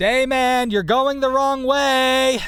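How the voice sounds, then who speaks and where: The pitch of this man's voice is extremely high. He is doing a put-on character voice. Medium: read story.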